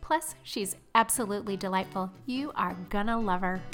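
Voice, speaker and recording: A woman with ordinary pitch variation, music in the background. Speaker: podcast host. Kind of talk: interview. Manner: pitch rises when excited.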